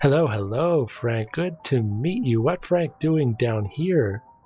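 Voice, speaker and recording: Using a put-on character voice, a man talks at a fairly slow pace with a medium pitch. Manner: shouting.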